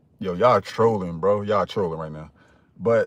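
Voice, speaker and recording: Against a quiet background, a man speaks in an animated tone with a dry, close sound and no echo. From Philadelphia / South Jersey, US. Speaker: dating coach. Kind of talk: live stream talk. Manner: loud.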